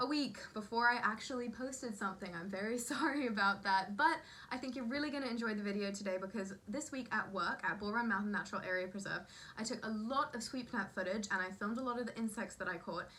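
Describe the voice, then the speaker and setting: Over noticeable background noise, a woman with an American accent talks at a very fast pace, her fairly high pitch showing ordinary variation. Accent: switches between British and American. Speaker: entomology video host. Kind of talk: educational vlog intro.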